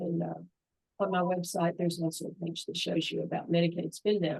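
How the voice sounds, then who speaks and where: At a moderate pace, a woman talks in a Southern US accent. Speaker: long-term care insurance expert. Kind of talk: interview. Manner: animated.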